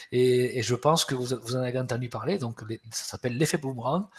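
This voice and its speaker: A man talks in a somewhat breathy voice at a medium pitch. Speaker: HR webinar host. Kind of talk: webinar presentation. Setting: webinar. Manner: hesitant, many repetitions.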